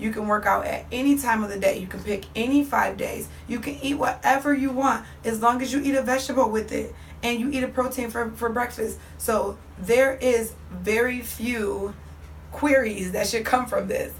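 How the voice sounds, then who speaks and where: Audible room echo hangs around the voice. A woman talks at a moderate pace. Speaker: fitness coach. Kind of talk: motivational instruction to viewers.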